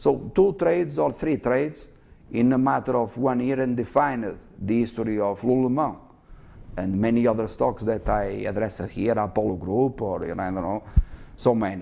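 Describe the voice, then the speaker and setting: Medium-pitched male speech with a dark, mellow tone, lively intonation and a moderate pace. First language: not English. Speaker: stock market educator. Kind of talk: live market commentary. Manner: halting, many fillers.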